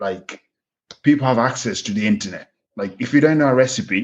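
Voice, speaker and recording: Lively intonation with a Kenyan accent. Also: man. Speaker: pig farm manager. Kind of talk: podcast interview.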